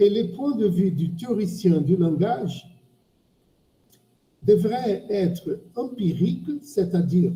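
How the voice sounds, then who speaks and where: The speaker, in a Portuguese accent, goes at a very slow pace and leaves long, frequent pauses. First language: Portuguese (speaking French). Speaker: semiotics professor. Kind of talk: academic discussion. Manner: halting. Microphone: bad microphone.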